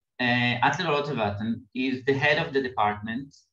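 With audible room echo around him, a man talks at a moderate pace and shows ordinary pitch variation. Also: quiet background. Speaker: seminar host. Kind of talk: seminar introduction. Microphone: video call.

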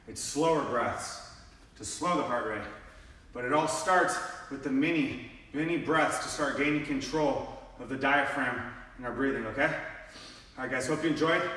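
Audible room echo surrounds a man speaking with fairly even intonation. He leaves long, frequent pauses. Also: moderate pace. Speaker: fitness coach. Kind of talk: workout instruction. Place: gym. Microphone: camera far.

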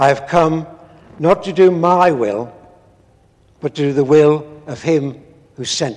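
This man's voice sits fairly high for a man and has a slightly mellow tone. He talks at a slow pace with fairly even intonation.

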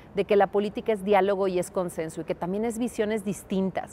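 Over light background noise, a woman with a dark, mellow tone talks at a very fast pace. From Mexico, León, Guanajuato; Guanajuato, Mexico. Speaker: political candidate; candidate. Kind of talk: interview. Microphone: lapel.

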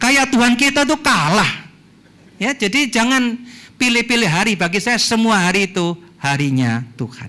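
The voice is raised and projected, with a bright, sharp tone. It moves at a moderate pace. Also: man. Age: 60s. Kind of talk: lecture. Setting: church hall with audience. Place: hall. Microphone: handheld.

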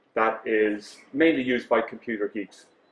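A man speaks with audible room echo around him. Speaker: conference presenter. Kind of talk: lecture. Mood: wry storytelling. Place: hall.

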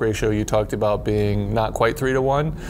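Against light background noise, a man talks at a fairly quick pace in a fairly low pitch, with monotone, flat intonation. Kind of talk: interview answer. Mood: reflective, relaxed. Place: studio. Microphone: lapel.

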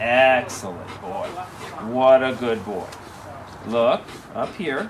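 Noticeable background noise fills the recording as a man talks at a very slow pace. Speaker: dog trainer. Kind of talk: tutorial. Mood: calm, encouraging. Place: garden.

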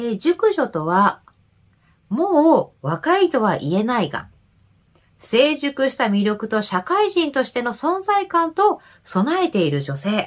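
A woman's high voice at a very slow pace with very wide pitch swings, over a quiet background. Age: 30s. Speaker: nurse and men's health YouTuber; nurse health channel host. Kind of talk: reading and commenting on viewer comments. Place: home room. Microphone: webcam.

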